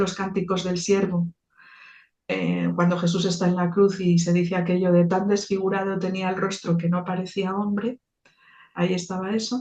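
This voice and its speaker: This woman's voice sits at a medium pitch. Her delivery is fairly slow in pace. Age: 60s. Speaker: theologian and icon painter. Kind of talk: interview. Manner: halting, with many repetitions.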